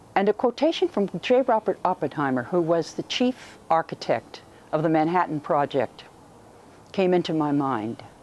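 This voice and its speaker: A woman with a fairly low pitch talks at a moderate pace, her voice swinging very widely in pitch. The sound is dry and close, with no echo. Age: 70s. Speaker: tour participant. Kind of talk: interview testimony.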